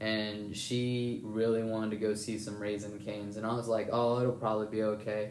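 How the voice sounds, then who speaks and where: A man's fairly low, monotone, flat voice at a moderate pace with hardly any pauses, plus audible room echo and noticeable background noise. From northern West Virginia. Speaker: college baseball player, podcast host. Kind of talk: casual chat.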